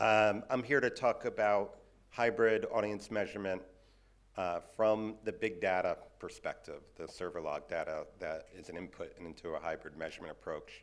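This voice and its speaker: A man with a New York accent at a moderate pace. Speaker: audio measurement industry speaker. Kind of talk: conference presentation.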